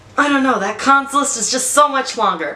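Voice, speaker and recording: A woman with a high pitch talks against noticeable background noise. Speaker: beauty vlogger. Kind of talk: product review tutorial. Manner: halting, stumbles on words; casual, conversational.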